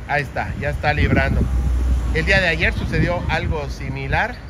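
Over clear background noise, a man with a fairly high pitch talks at a moderate pace with ordinary pitch variation.

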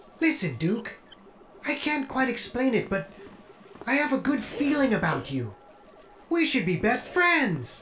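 A female-sounding, put-on character voice at a fairly high pitch moves at a moderate pace with long, frequent pauses, over clear background noise. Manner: chipper, naive, warm.

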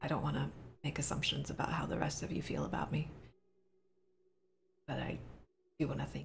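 A raspy, put-on character voice at a fairly quick pace, broken by long, frequent pauses. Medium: actual play. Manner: reflective, earnest.

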